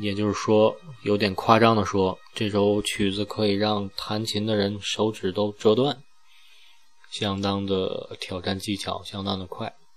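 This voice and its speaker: A man talks at a fairly slow pace in a fairly low voice. His intonation is monotone and flat. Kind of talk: solo podcast narration.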